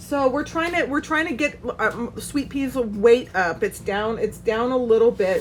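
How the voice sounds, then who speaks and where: Using an ordinary speaking voice, a woman speaks at a moderate pace with fairly high pitch and ordinary pitch variation. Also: hardly any pauses. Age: 30s. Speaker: doll shop owner and vlogger. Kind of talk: casual vlog. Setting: doll shop.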